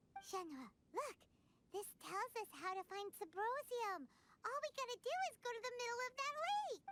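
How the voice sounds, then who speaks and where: In a squeaky, put-on character voice with extremely high pitch, the speaker moves at a moderate pace. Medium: video game. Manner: lively, casual.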